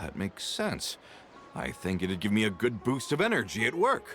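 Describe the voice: A put-on character voice at a fairly slow pace, fairly bright in tone, with very wide pitch swings and faint music in the background. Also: man.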